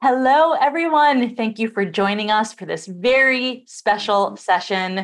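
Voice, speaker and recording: A woman talks at a moderate pace with lively intonation in a quiet background. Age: 40s. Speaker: summit interviewer. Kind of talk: interview. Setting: video call. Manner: animated. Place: home room.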